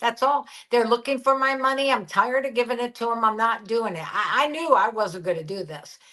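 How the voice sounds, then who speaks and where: Over noticeable background noise, a woman talks at a fairly quick pace with hardly any pauses, her fairly high pitch carrying lively intonation and big swings in loudness. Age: 60s. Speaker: guest sharing weight loss experience. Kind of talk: casual interview chat. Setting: live-streamed video podcast. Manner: halting.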